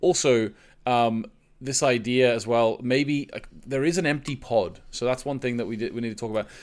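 A man with an unremarkable speaking voice talks at a moderate pace in a medium pitch, with ordinary pitch variation. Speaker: podcast host. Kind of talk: casual chat. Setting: remote recording.

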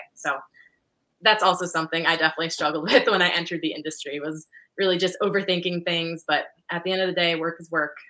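A woman speaks very fast at a fairly low pitch, her loudness swinging widely while her intonation stays flat and monotone and her tone comes across bright and sharp. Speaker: golf professional. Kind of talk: interview.

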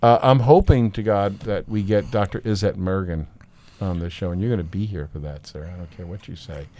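Fairly low-pitched, a man talks at a fairly quick pace in a dark, mellow tone, with ordinary pitch variation and big swings in loudness. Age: 60s. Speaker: podcast host and art educator. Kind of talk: casual chat.

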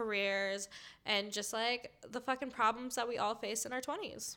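Speaking in an American accent at a moderate pace, a woman delivers her words in a monotone, flat intonation with a bright, sharp tone. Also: very clean recording, silent background. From Minnesota. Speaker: podcaster, guest storyteller. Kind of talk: storytelling.

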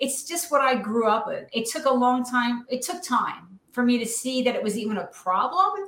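A woman with an American accent, high-pitched and lively in intonation, at a moderate pace with hardly any pauses, over noticeable background noise. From New Jersey. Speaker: former judge in recovery, author. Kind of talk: interview testimony. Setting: live stream.

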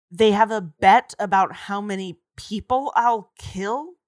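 Quiet background behind a natural reading voice

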